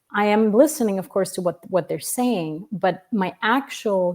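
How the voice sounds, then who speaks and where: A woman speaks very slowly with a non-native accent and ordinary pitch variation. The recording is very clean, with a silent background. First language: not English. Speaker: family constellation facilitator. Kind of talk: interview. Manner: hesitant, many fillers.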